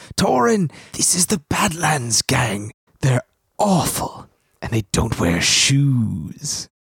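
A man puts on a character voice, speaking at a very slow pace with medium pitch. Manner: yelling a warning, urgent.

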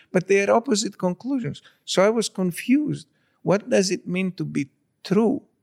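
A man with a Greek accent and a high pitch at a moderate pace, in a dry, close sound with no echo. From Greece (born in Istanbul). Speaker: particle physicist. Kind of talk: interview conversation.

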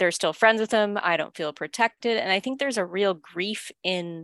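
A woman in a Canadian accent uses an unremarkable speaking voice at medium pitch, with ordinary pitch variation and a moderate pace, in a dry, close sound with no echo and a quiet background. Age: 30s. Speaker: author. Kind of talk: casual chat.

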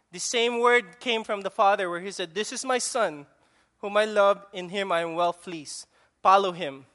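The speaker has a Filipino accent and a fairly slow pace. The background is quiet. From Philippines. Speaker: preacher. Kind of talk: sermon. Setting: church. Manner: halting, with frequent fillers.

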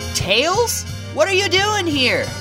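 Over clear music in the background, a put-on character voice moves at a slow pace with big pitch swings. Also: woman, extremely high pitch for a woman.

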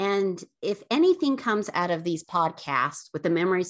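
Against a quiet background, a woman speaks in a normal speaking voice at a moderate pace. Her pitch is fairly low and her intonation lively. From Utah, Draper. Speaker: podcast co-host. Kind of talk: casual chat.

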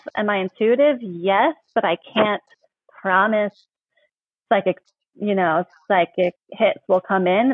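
At a fairly slow pace, a woman with medium pitch talks in a plain, everyday voice with ordinary pitch variation. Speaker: palm reader and author. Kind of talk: casual interview chat. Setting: video call.

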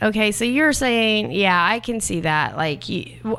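Against a silent background in a very clean recording, a woman with a bright, sharp tone and vocal fry speaks at medium pitch and a moderate pace with very wide pitch swings. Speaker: podcast co-host. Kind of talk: casual banter podcast.

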